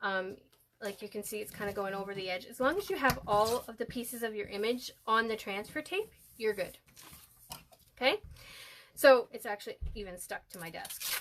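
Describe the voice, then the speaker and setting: A woman talks at a moderate pace in a plain, everyday voice. Her pitch sits fairly high. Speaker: crafting tutorial presenter. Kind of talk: live-stream tutorial. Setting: Facebook live stream at home desk. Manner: casual, with filler words.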